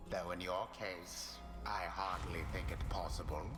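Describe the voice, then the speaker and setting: Over loud background noise, a man does a put-on character voice at a very deep, low pitch and a moderate pace. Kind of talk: solemn pronouncement. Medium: game stream. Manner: formal, archaic.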